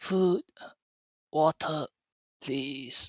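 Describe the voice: A put-on character voice, croaky and hoarse. It sits at a middle pitch.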